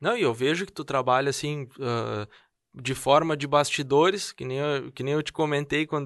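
Against a quiet background, a man speaks in a normal speaking voice with fairly even intonation. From southern Brazil, Rio Grande do Sul. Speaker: podcast host. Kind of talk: interview conversation.

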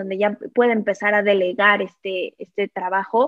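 A woman speaks at a fairly slow pace in a plain, everyday voice. Her pitch is fairly high. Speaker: financial advisor. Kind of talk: interview.

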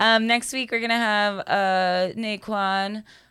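A woman speaks at a very slow pace in a bright, sharp tone. The recording is very clean, with a silent background. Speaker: podcast host. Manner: calm, soft delivery.

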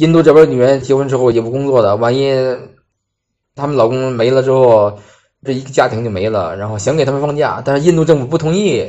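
An ordinary speaking voice from a man at a medium pitch, fairly quick in pace, with ordinary pitch variation. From Hebei, northern China. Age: 30s. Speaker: engineer at a renewable energy company working abroad. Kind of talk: personal testimony.

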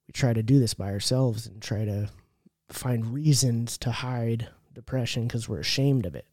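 In a very clean recording with a silent background, a man with an American accent speaks at a moderate pace in a medium-pitched voice with a dark, mellow tone, ordinary pitch variation and big swings in loudness. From California. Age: 30s. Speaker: person in addiction recovery. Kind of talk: testimony.

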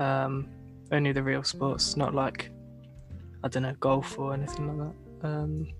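The words come very slowly. Background music plays throughout. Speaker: podcast host. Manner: casual, jokey.

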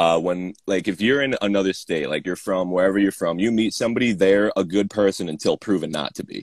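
In a New York accent, a man speaks fairly quickly at a fairly low pitch, the sound dry and close with no echo. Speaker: kendama player and distributor. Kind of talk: casual chat. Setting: video call.

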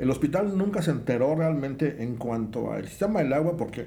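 With audible room echo, a man talks at a moderate pace in a dark, mellow tone with lively intonation. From Mexico, Veracruz. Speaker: engineer in hospital construction. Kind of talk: casual chat.

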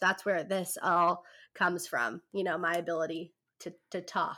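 With an American accent, a woman speaks at a fairly slow pace. Her tone is bright and sharp. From California. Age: 20s. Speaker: podcaster. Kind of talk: casual chat. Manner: animated.

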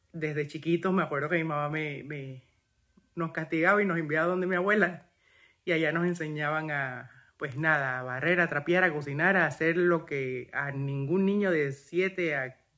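In a very clean recording with a silent background, a man with a plain, everyday voice talks at a moderate pace with fairly even intonation. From Panama. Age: 40s. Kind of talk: testimony.

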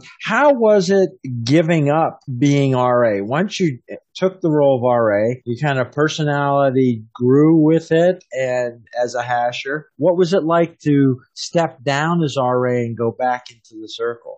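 This man has a normal speaking voice with an American accent, pitched fairly high with ordinary pitch variation. He speaks at a fairly slow pace. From Pennsylvania, US. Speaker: podcast host. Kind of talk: casual interview.

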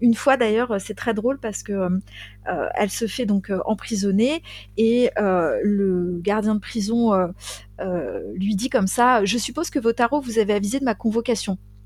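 A woman in a normal speaking voice talks at a fairly slow pace, her fairly high pitch showing ordinary variation. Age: 40s. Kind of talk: casual storytelling chat.

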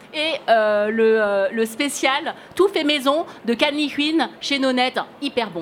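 Her pitch high, a woman speaks at a fairly slow pace with lively intonation. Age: 40s. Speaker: podcast host and author. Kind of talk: live podcast interview. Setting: stage with audience. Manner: halting.

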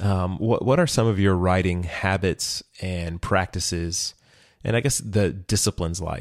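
Speaking at a fairly slow pace, a man has a very deep, low pitch and ordinary pitch variation. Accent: Texan. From Texas.

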